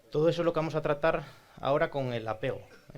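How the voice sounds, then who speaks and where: A man with an Asturian accent speaks with ordinary pitch variation. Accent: northern Spanish (Asturian). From Asturias, Spain (Oviedo). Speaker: psychologist and speech therapist. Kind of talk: talk to audience. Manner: conversational, frequent tag questions.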